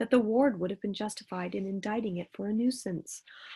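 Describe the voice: Ordinary shifts in pitch during a plain read-aloud passage.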